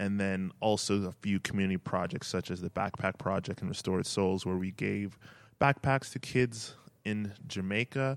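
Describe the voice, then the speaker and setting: A man with a Canadian accent speaks in an unremarkable speaking voice at a fairly low pitch, with ordinary pitch variation and a moderate pace, in a dry, close sound with no echo on a very clean recording with a silent background. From Edmonton, Canada. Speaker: podcast host and marketing entrepreneur. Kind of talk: solo podcast introduction.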